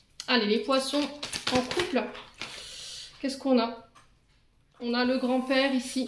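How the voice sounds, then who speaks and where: A woman's high voice with fairly even intonation over noticeable background noise. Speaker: tarot reader. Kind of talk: tarot reading. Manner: hesitant with fillers.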